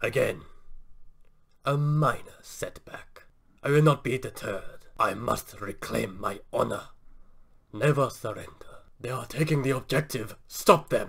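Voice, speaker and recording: A man puts on a character voice, fairly high in pitch. He goes at a moderate pace, with long, frequent pauses. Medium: solo performance. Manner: solemn, commanding.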